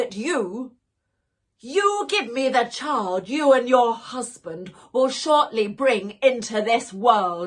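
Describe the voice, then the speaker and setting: The speaker uses a put-on character voice with a stern tone. The pace is very slow. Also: woman, high pitch for a woman. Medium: read story. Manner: stern, commanding.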